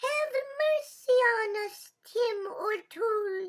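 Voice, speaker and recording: In a put-on character voice, the speaker squeaks at an extremely high pitch and a very slow pace. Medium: read story. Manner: sly, playful.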